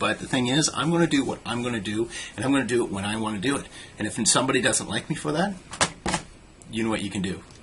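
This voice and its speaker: A man talks at a very fast pace with lively intonation. He leaves long, frequent pauses, and there is noticeable background noise. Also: medium pitch for a man. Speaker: vlogger. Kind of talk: casual vlog monologue. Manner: halting, many fillers.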